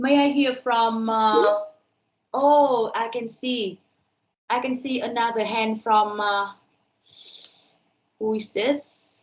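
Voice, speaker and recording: Very slow and marked by long, frequent pauses, a woman's fairly high voice keeps fairly even intonation. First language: Vietnamese. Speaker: university lecturer. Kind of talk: online lecture.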